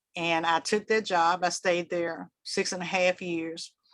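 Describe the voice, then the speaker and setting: A woman talks in a Southern US accent at a medium pitch. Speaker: public relations executive. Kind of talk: panel discussion.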